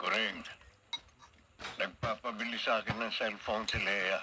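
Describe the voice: In a put-on character voice, a man speaks at a fairly slow pace with a fairly low pitch, a husky, rough edge and a bright, sharp tone. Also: fairly even intonation.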